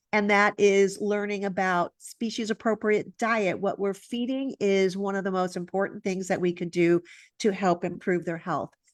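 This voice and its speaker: This woman has a medium pitch and an animated tone at a moderate pace. The sound is dry and close with no echo, against a quiet background. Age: 60s. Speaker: holistic veterinarian. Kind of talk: interview presentation.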